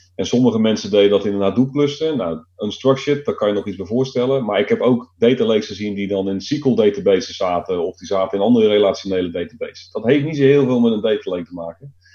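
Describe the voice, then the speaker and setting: This man talks at a very fast pace with hardly any pauses, and his loudness swings widely. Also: medium pitch for a man, ordinary pitch variation. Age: 40s. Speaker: IT consultant. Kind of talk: casual chat.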